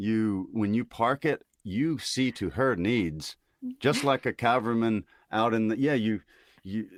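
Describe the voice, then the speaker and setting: At a fairly slow pace, a man with an American accent and an ordinary speaking voice talks at medium pitch with ordinary pitch variation, in a very clean recording with a silent background and a dry, close sound with no echo. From US South, Mississippi. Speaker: army veteran and social media creator. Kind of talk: casual chat.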